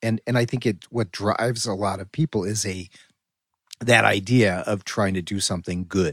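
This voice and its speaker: Recorded dry and close with no echo, a man with a normal speaking voice and fairly low pitch talks at a moderate pace with ordinary pitch variation. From US Northeast, western Connecticut. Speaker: podcast host. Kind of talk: interview.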